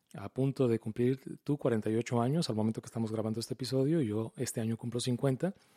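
A man's dark, mellow tone at a moderate pace, in a dry, close sound with no echo. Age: 40s. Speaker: podcast host and radio announcer. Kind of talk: casual chat.

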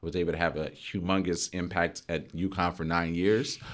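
A man speaks in a very deep, low voice. The recording is very clean, with a silent background. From Louisiana, US South. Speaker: school district social emotional learning coordinator. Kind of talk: casual interview. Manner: animated.

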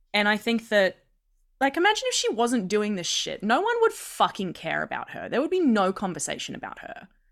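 A woman speaks fairly quickly in an Australian accent, with big swings in loudness. The recording is very clean, with a silent background. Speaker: podcast co-host. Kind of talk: casual chat.

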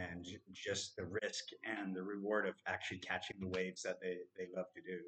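A man's fairly low, monotone voice with flat intonation at a fairly quick pace. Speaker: podcast co-host. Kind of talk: casual interview. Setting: studio.

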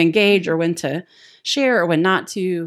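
A woman speaks in an unremarkable speaking voice, fairly low-pitched, at a moderate pace with ordinary pitch variation. The recording is very clean with a silent background. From US South, Texas and Appalachia. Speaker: missionary. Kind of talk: casual chat.

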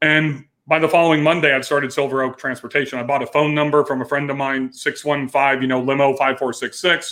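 A man with an American accent speaks at a very fast pace, with hardly any pauses. His fairly high voice stays monotone and flat. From US West Coast (Bakersfield, California). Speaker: business coach and former limo company owner. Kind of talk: podcast interview.

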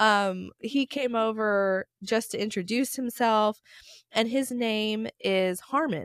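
A woman with an American accent speaks very slowly at a fairly high pitch, her loudness very even and her pitch variation ordinary. The recording is very clean with a silent background, and the sound is dry and close with no echo. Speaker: podcast host, real estate agent. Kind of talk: casual chat.

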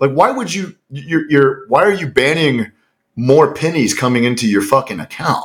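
With an American accent, a man speaks at a moderate pace in a fairly high, somewhat breathy voice with lively intonation. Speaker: podcast co-host, former special operator. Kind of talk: casual podcast chat. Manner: profane, casual.

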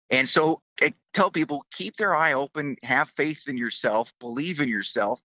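A man with an unremarkable speaking voice talks at a fairly high pitch. His pace is moderate, with ordinary pitch variation and hardly any pauses. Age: 50s. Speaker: author, military service member. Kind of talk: interview.

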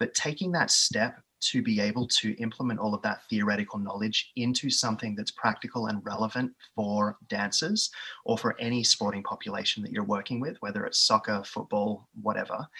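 With an Australian accent, a man speaks at a fairly quick pace in a medium pitch, his tone bright and sharp and his intonation fairly even. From Australia, east of Melbourne. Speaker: physiotherapist and division manager. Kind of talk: interview. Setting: video call.

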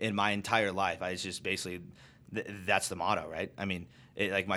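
With an American accent, a man speaks fairly quickly in a fairly low voice, bright and sharp in tone, with monotone, flat intonation. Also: very clean recording, silent background. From Arizona. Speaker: airline pilot. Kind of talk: casual chat.

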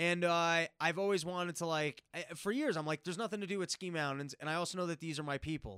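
A high-pitched man with an American accent, a bright, sharp tone and ordinary pitch variation, talking at a very fast pace in a dry, close sound with no echo. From New York City. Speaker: comedian. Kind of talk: casual chat.

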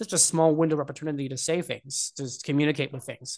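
Against a quiet background, a man with a fairly high pitch talks in a normal speaking voice. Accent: American. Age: 20s. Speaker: tech company executive. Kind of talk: casual interview. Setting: remote call.

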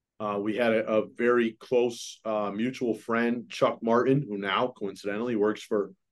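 Monotone, flat intonation marks this man's medium-pitched speech at a fairly slow pace. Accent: American. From Massachusetts, Holyoke. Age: 40s. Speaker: basketball coach. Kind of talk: casual chat. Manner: halting, many fillers.

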